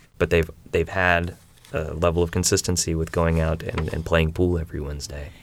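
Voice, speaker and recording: A man with an American accent speaks in a very deep, low voice at a fairly quick pace. His intonation is monotone and flat, with noticeable background noise behind him. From Middle Tennessee, then Southern Illinois. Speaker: magazine editor and photographer. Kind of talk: interview. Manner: casual with fillers.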